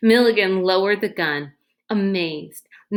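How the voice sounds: Pitch variation stays ordinary in this natural reading voice. Quiet background surrounds it.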